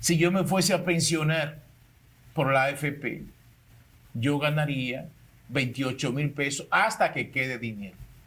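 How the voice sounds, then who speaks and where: A man speaks at a fairly slow pace and a fairly high pitch. His pitch varies in an ordinary way, with long, frequent pauses. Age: 60s. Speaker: public servant. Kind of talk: panel discussion.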